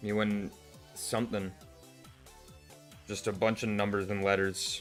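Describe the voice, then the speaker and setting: Over background music, a man with a fairly low pitch speaks fairly slowly in a flat, monotone delivery. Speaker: artist. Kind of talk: casual livestream talk while drawing.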